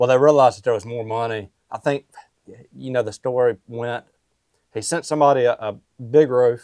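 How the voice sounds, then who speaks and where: With a Mississippi accent, a man talks at a fairly quick pace broken by long, frequent pauses, his intonation fairly even and his loudness swinging widely, in a dry, close sound with no echo. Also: medium pitch for a man. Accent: Southern US (Mississippi). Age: 20s. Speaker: roofing company owner. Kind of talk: podcast interview. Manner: casual, filler-heavy.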